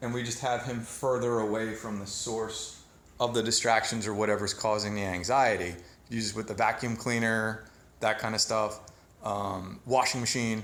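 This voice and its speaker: Audible room echo surrounds a man speaking at a moderate pace and medium pitch with a monotone, flat intonation. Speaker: dog trainer. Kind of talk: training demonstration.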